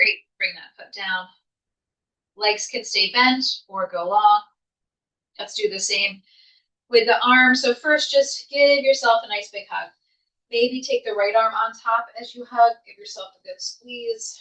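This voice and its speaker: In a calm, soothing tone, a woman speaks fairly slowly with a fairly high pitch, ordinary pitch variation and big swings in loudness. She leaves long, frequent pauses. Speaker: yoga instructor. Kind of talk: guided yoga class.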